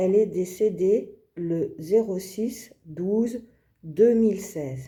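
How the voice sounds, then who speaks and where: A woman at medium pitch with a dark, mellow tone, somewhat breathy, at a very slow pace. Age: 50s. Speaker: video creator presenting her family. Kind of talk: scripted presentation, like a language-learning exercise. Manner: slow, deliberate.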